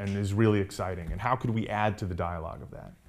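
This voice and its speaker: The speaker has a plain, everyday voice and an American accent. The pace is fairly quick, with ordinary pitch variation. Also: man. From Atlanta suburbs, US South (from New York until 9). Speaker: restaurant owner. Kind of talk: interview.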